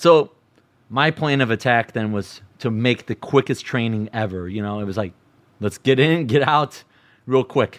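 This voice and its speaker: A man's medium-pitched voice with an American accent, at a moderate pace with ordinary pitch variation, dry and close with no echo, a plain, everyday voice. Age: 30s. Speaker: storyteller. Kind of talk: personal storytelling.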